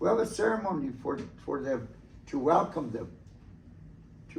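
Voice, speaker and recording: Amid audible room echo, a man speaks at a moderate pace with very wide pitch swings. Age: 70s. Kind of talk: talk to students about traditions. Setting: school presentation. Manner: halting with many fillers.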